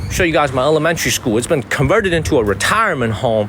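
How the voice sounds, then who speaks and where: The speaker talks at a very fast pace with lively intonation. Noticeable background noise runs underneath. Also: man. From China (Zhenjiang, Jiangsu). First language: Chinese. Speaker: live streamer. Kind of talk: live-stream walking vlog. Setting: outdoors, walking on the street at night. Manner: animated.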